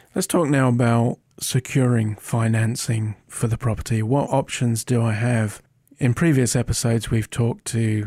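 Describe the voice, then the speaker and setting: With a British accent, a dark, mellow, somewhat breathy voice speaks at a moderate pace with fairly even intonation and very even loudness, in a very clean recording with a silent background and a dry, close sound with no echo. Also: man. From Britain. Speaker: podcast co-host. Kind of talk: interview-style discussion.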